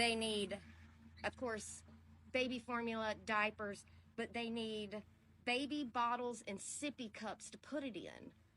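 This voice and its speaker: A woman with a fairly high pitch speaks very slowly in a bright, sharp tone. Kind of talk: appeal for donations.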